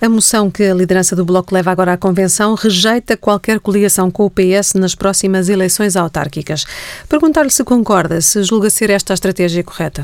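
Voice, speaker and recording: Against music in the background, a woman speaks at a fairly quick pace and a medium pitch with ordinary pitch variation. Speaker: journalist. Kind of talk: radio interview.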